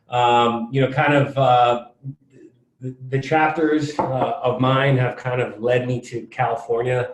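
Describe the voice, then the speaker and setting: With an American accent, a man talks at a fairly slow pace in a flat, monotone delivery. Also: medium pitch for a man. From US Northeast, Connecticut. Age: 30s. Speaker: podcast guest, fitness and real estate investor. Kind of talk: casual interview. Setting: conference room, in person.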